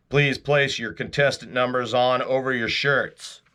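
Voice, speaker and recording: Putting on a character voice, a man speaks at a moderate pace in a medium pitch. The background is quiet. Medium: read story.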